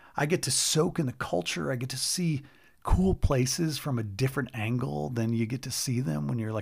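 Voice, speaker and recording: A man's somewhat breathy voice with a warm tone, medium pitch and fairly quick pace, on a very clean recording with a silent background. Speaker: podcast host and speaker. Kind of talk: personal storytelling monologue with a heartfelt, sermon-like appeal. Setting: solo recording with direct address to listeners. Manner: earnest, warm and reflective, with self-deprecating laughs.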